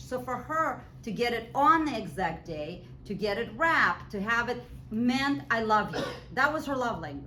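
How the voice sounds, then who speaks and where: Noticeable background noise and audible room echo accompany a voice in a Russian accent that moves at a moderate pace with very wide pitch swings. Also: woman. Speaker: professor. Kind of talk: lecture. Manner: conversational.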